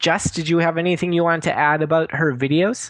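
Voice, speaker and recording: Over a quiet background, a man with a Wisconsin accent talks at a fairly quick pace and a fairly high pitch. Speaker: podcast co-host. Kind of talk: casual chat.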